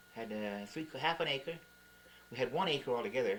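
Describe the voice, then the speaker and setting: A man speaks at a very fast pace with a medium pitch. Noticeable background noise is present. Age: 60s. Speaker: grandfather. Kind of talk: family interview, telling life stories. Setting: home camcorder recording. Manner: casual, reminiscing.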